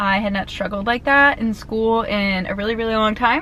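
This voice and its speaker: Speaking with an American accent at a moderate pace, a woman with a medium-pitched voice sounds animated over noticeable background noise. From US Mid-Atlantic (Maryland). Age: 20s. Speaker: lifestyle vlogger. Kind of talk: casual vlog talk to camera. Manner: chatty, animated.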